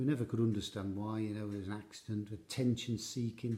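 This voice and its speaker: A very fast, somewhat breathy male voice, fairly low in pitch with a dark, mellow tone and ordinary pitch variation. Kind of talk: comedic monologue to camera.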